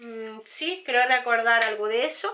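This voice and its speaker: A woman talks at a very slow pace in a high pitch with ordinary pitch variation. Her tone is bright and sharp. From Spain. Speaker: beauty youtuber. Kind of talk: product haul review. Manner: hesitant, many fillers. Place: home room.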